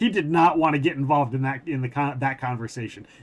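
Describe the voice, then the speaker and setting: Fairly quick speech from a man with an American accent, a fairly high pitch and ordinary pitch variation, over noticeable background noise. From Minnesota, US. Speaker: gaming livestreamer. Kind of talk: casual livestream chat. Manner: animated.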